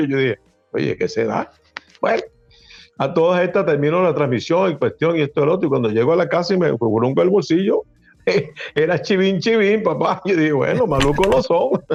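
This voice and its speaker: A man with a Venezuelan accent and high pitch, lively intonation, a fairly quick pace broken by long, frequent pauses, very even loudness and music in the background. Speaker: radio announcer. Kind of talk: interview answer.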